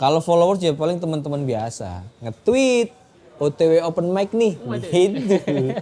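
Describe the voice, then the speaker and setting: Noticeable background noise surrounds a man with a Surabaya accent who speaks at a fairly slow pace and fairly high pitch, his pitch swinging very widely, with hardly any pauses. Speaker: stand-up comedian. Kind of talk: interview answer. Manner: casual, chatty.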